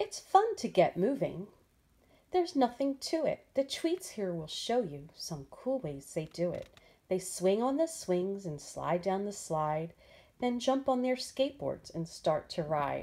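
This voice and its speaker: A woman speaks at a fairly slow pace in a dark, mellow tone. Her pitch swings very widely. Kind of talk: storybook read-aloud. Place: home room. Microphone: phone near.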